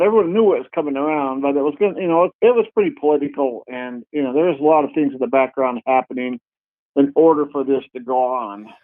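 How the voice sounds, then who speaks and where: Fairly high-pitched and fairly quick, a man talks with lively intonation in an unremarkable speaking voice. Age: 60s. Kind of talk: interview.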